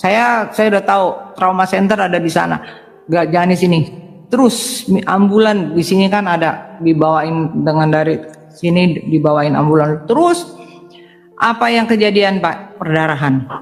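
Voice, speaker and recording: Over noticeable background noise and audible room echo, a woman talks in a fairly low pitch at very even loudness. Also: ordinary pitch variation, moderate pace. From Indonesia, Palembang, raised in Jakarta. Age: 60s. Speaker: doctor giving conversion testimony. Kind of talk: testimony. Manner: halting.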